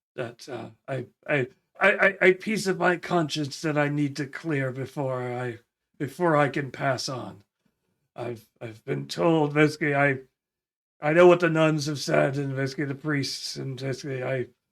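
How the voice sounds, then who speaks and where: In a put-on character voice, a man speaks raspy and fairly high-pitched at a moderate pace, on a very clean recording with a silent background. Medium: actual play.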